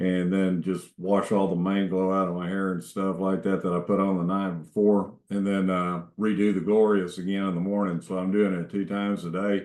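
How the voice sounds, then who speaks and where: Against a quiet background, a man with a very deep, low voice speaks in a flat monotone with hardly any pauses. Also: moderate pace. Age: 70s. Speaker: customer giving product testimonial. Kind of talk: testimony. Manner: halting, many fillers.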